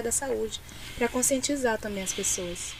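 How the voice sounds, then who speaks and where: A woman with a fairly high pitch is heard over noticeable background noise. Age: 20s. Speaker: social media coordinator. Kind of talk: interview.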